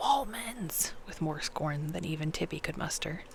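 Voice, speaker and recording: Someone soft-spoken talks at a fairly slow pace over noticeable background noise. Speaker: ASMR reader. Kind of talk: bedtime audiobook reading.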